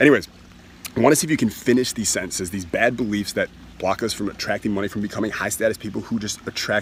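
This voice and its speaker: Over noticeable background noise, a man speaks very fast in a fairly low voice. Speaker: self-help money coach. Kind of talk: sales pitch. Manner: animated.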